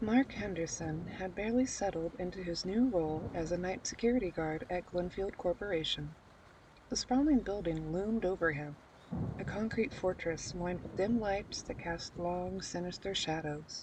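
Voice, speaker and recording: A soft-spoken woman at a medium pitch. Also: ordinary pitch variation, moderate pace. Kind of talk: horror story narration.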